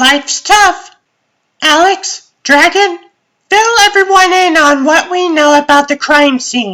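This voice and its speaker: A woman in a put-on character voice sounds squeaky at an extremely high pitch, speaking fairly slowly with ordinary pitch variation. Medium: fan dub. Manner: theatrical, bossy.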